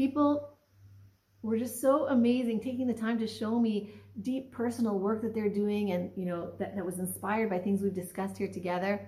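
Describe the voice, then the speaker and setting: The voice is somewhat breathy with a dark, mellow tone, moving at a moderate pace with ordinary pitch variation. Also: woman, fairly high pitch for a woman. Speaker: Torah study participant. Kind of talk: religious teaching discussion. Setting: video call.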